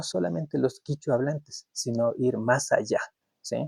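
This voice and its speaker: In an Ecuadorian accent, a man speaks at a very slow pace with a dry, close sound and no echo. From Ecuador, Kichwa community. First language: Kichwa (speaking Spanish). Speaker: YouTube commentator. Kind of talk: opinion monologue. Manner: halting, with repetitions.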